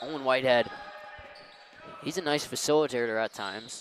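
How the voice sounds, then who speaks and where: Man at a moderate pace and medium pitch, ordinary pitch variation, with noticeable background noise. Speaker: sports commentator. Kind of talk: live commentary.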